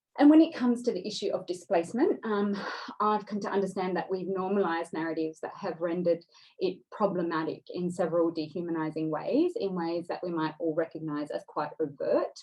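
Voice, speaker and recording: A woman speaks with an Australian accent at a fairly quick pace. Her pitch is medium, with ordinary variation. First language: Dari. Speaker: writer and speaker on displacement. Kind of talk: seminar talk. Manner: hesitant, many fillers.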